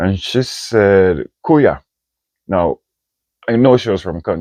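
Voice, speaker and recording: A Jamaican accent in a dry, close recording with no echo and a quiet background. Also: man. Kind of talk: casual talk to camera.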